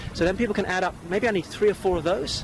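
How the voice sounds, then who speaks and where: Noticeable background noise runs behind the speech. A man talks at a very fast pace. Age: 40s. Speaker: property investor and speaker. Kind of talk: interview. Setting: outdoors.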